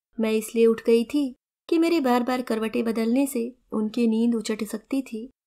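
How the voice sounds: A natural reading voice with fairly even intonation against a quiet background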